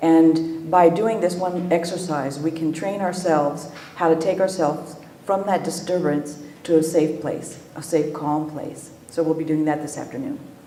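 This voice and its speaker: A soft-spoken woman's fairly low voice at a moderate pace, with fairly even intonation, audible room echo and noticeable background noise. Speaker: EMDR trainer. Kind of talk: lecture.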